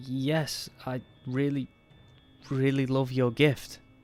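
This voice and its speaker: A man's shaky, put-on character voice at medium pitch, very slow and monotone, flat in intonation, with music in the background. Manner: frightened.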